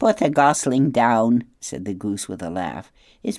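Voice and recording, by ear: Someone reads aloud. The voice is natural.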